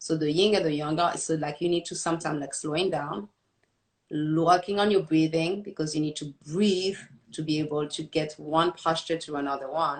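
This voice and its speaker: With a French accent, a woman talks at a moderate pace in a very deep, low pitch, her intonation fairly even. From France. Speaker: kickboxing and fitness coach. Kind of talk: interview.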